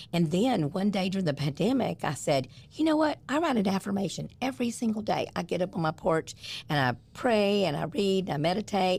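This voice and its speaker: This somewhat breathy voice makes very wide pitch swings at very even loudness. The recording is very clean, with a silent background. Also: woman, medium pitch for a woman, fairly quick pace. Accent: American. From US South. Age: 60s. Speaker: blogger and live streamer. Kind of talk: podcast interview. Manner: animated.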